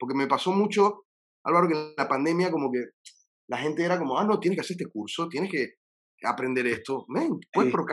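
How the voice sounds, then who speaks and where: Fairly quick and lively in intonation, a man talks at a fairly high pitch. He has an ordinary speaking voice. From Panama. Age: 40s. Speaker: singer-songwriter. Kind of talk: casual interview. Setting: his recording studio.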